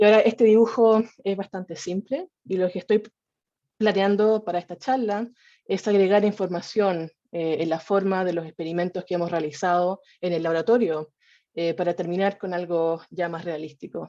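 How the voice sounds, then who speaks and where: In a Chilean accent, a woman speaks at a moderate pace and medium pitch. Her tone is dark and mellow, her intonation fairly even. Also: quiet background. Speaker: evolutionary biologist, researcher. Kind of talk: scientific talk. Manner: hesitant, with fillers and restarts.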